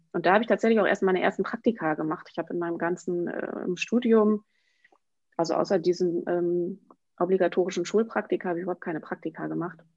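With fairly even intonation, this woman races along at a very fast speed. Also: medium pitch for a woman. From northwestern Germany, Emsland. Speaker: children's book author. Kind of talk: interview.

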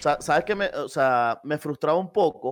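This man has a normal speaking voice, with ordinary pitch variation and a moderate pace. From Venezuela. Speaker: esports caster. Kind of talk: casual chat.

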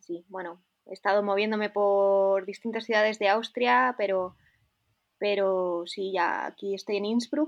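With a Spanish accent, a woman talks at a fairly slow pace. Her pitch sits in the medium range. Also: ordinary pitch variation. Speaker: snowboarder. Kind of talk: interview.

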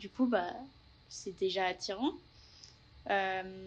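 The woman's pitch shows ordinary variation. She delivers her words at a fairly slow pace. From Paris region, France. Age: 20s. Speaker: working holiday traveller, engineering graduate. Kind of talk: interview testimony. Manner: hesitant, many fillers.

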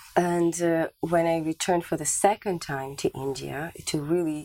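Her pitch sits fairly low, with fairly even intonation. The woman uses a plain, everyday voice at a moderate pace. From Canada. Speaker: spiritual teacher. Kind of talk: interview.

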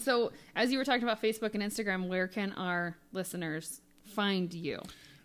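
Ordinary pitch variation at a moderate pace, in a very clean recording with a silent background. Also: woman, medium pitch for a woman. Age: 30s. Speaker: podcast co-host. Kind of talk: casual chat. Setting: studio.

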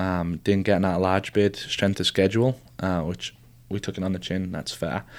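A man speaks in a very deep, low voice at a moderate pace. His intonation is fairly even on a very clean recording with a silent background. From northern England, near Newcastle. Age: 20s. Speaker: college soccer coach. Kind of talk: interview conversation. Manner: many filler ums.

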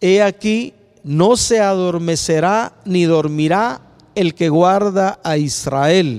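A man speaks at a high pitch. His intonation is lively. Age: 60s. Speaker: preacher. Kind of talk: sermon. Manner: halting.

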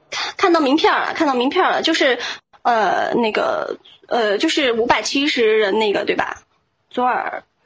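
Speaking at a fairly slow pace, a woman uses a high pitch with very wide swings. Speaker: caller on live voice-chat show. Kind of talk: casual chat. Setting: online voice chat room. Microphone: strong echo.

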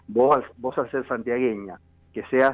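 The man's voice sits at a medium pitch. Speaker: radio host. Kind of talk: interview. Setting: radio studio. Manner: halting, many repetitions.

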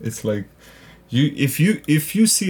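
A man speaks with a Macedonian accent and lively intonation. His voice is somewhat breathy. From North Macedonia. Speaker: stand-up comedian and actor. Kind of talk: casual interview chat.

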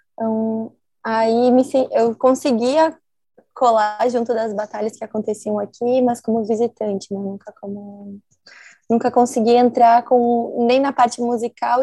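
Her voice is fairly high for a woman, with a dark, mellow tone. She keeps a moderate pace and a monotone, flat intonation. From southern Brazil, Santa Maria, Rio Grande do Sul. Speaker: DJ. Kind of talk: interview.

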